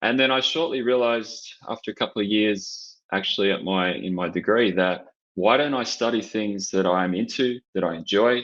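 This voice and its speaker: Here a man speaks with an Australian accent at a fairly low pitch. His pace is moderate and his pitch variation ordinary. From Australia, Canberra. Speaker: sports marketing director. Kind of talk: podcast interview.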